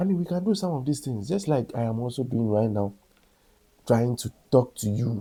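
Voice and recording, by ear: The man speaks at a moderate pace in a medium pitch, his tone dark and mellow with a slightly husky edge. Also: ordinary pitch variation.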